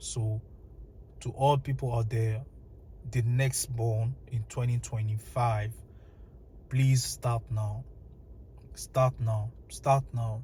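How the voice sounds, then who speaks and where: A very slow, monotone, flat delivery with a dark, mellow tone, somewhat breathy. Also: man. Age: 20s. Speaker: vlogger. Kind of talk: personal monologue. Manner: halting.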